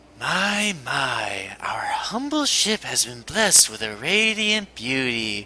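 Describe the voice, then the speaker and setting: A man's high-pitched, put-on character voice at a fairly slow pace. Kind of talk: actual play, reading and voicing game characters. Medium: actual play.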